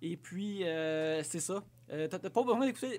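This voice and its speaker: A high-pitched man at a moderate pace, on a very clean recording with a silent background. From Quebec, Abitibi-Ouest. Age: 30s. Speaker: podcast guest. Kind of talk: casual chat.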